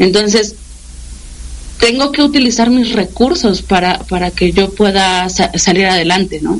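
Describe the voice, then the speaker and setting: Over noticeable background noise, a woman with a medium pitch and ordinary pitch variation speaks at a fairly slow pace. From Mexico City. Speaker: radio station director. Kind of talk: interview. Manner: halting.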